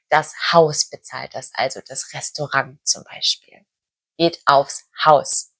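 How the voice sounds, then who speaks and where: A woman speaks at a very slow pace over music in the background. Her sound is dry and close, with no echo. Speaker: German language teacher. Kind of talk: language lesson talk to camera.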